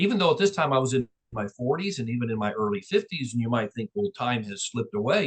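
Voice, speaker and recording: Somewhat breathy, a man speaks at medium pitch with very wide pitch swings in a dry, close recording with no echo. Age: 60s. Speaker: real estate and mortgage business owner. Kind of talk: interview.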